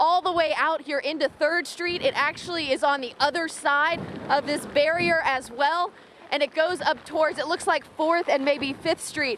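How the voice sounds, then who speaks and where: A high-pitched woman at a moderate pace, with ordinary pitch variation and noticeable background noise. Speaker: TV news anchor and reporter. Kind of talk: TV news report.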